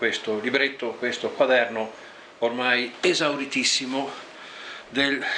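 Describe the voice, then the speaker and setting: A man with a Venetian accent, monotone and flat, at a very slow pace with long, frequent pauses over noticeable background noise. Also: medium pitch for a man. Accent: Venetian Liventina dialect. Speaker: poet. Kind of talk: poetry reading.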